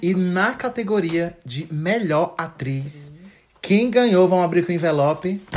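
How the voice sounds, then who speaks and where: An animated man's voice, high-pitched, at a fairly slow pace with ordinary pitch variation, against noticeable background noise. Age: 20s. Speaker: podcast co-host. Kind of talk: casual chat.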